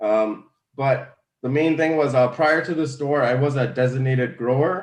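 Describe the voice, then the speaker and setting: A man with a normal speaking voice holds a medium pitch and fairly even intonation. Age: 30s. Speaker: cannabis store owner. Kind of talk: interview.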